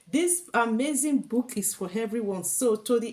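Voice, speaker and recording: A woman's fairly high, somewhat breathy voice with very wide pitch swings, at a moderate pace. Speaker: YouTube vlogger. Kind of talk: casual educational vlog reading. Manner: animated.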